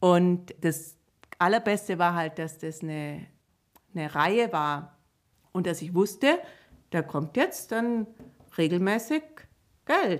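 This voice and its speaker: A woman with a fairly low pitch and ordinary pitch variation speaks at a very slow pace, with long, frequent pauses. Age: 50s. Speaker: children's book author. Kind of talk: casual interview.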